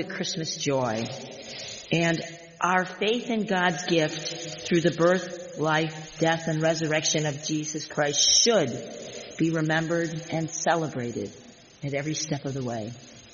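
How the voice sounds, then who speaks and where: Noticeable background noise runs under the voice. The pace is fairly slow. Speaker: pastor. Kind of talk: sermon.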